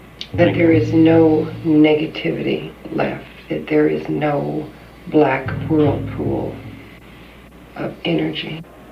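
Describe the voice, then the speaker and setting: Very slow delivery with long, frequent pauses. Background noise is noticeable throughout. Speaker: psychic in a trance. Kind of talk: psychic prayer and exorcism. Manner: solemn, intoning.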